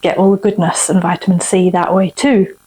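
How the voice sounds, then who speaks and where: A woman speaks at a moderate pace with a medium pitch. There is noticeable background noise. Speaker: cooking and craft video host. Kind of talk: cooking tutorial.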